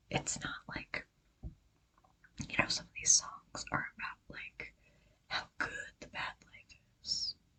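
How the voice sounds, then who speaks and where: A woman whispers at a very slow pace. Her pauses are long and frequent. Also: big swings in loudness. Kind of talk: ASMR casual talk to camera. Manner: whispered.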